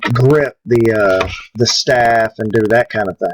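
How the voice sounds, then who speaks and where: A man speaks with a Southern US accent at a medium pitch. His intonation is fairly even, and the sound is dry and close with no echo. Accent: southern twang. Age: 50s. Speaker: prop maker. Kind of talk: live stream chat. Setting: live stream.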